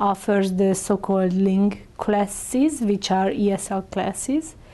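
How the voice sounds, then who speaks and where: At a very slow pace, a woman of medium pitch talks with a Hungarian accent. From Hungary. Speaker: immigrant integration council coordinator. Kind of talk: interview answer. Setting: interview.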